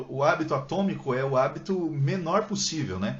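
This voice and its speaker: With lively intonation, a man speaks at a fairly high pitch amid audible room echo. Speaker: book content creator. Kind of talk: live stream Q&A chat. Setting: Instagram live from home. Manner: fast; talkative. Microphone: poor internet, may freeze.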